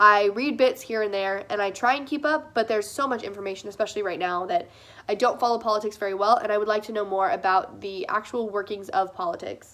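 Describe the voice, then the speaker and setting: Loud and energetic, a woman with a fairly high pitch and a bright, sharp, bubbly tone races along at a very fast pace with hardly any pauses and ordinary pitch variation. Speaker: first-time vlogger. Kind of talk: casual Q&A vlog monologue. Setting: sitting in front of a window, talking to a camera. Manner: loud, energetic, bubbly.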